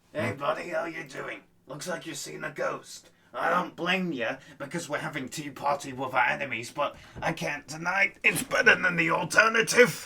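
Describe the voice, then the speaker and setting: A man's put-on character voice, fairly high in pitch, with ordinary pitch variation. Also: moderate pace. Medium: audio drama. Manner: casual, slangy.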